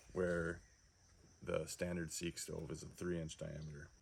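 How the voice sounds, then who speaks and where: In a very deep, low pitch, a man speaks with monotone, flat intonation. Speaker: DIY hunter and backpacker. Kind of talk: tutorial. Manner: hesitant, with filler words.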